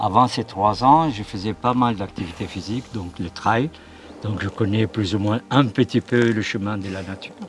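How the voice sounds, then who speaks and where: A man talks at a fairly low pitch with ordinary pitch variation and big swings in loudness. Noticeable background noise runs behind him. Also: moderate pace. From Middle East. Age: 60s. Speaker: sports physiotherapist and heart transplant recipient. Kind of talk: interview. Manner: halting.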